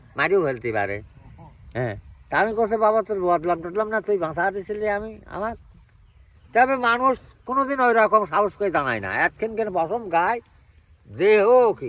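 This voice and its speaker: This man's voice sits high in pitch and moves with lively intonation. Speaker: elderly villager. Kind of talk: storytelling interview.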